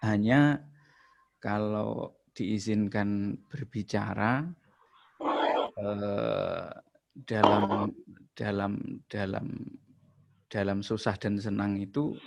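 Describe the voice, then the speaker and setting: A man with a strong East Javanese accent speaks at a very slow pace and a fairly low pitch. His intonation stays fairly even, broken by long, frequent pauses. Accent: thick Javanese (East Java). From East Java, Ponorogo. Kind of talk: casual religious comment in group video call. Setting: video call, camera off. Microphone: laptop.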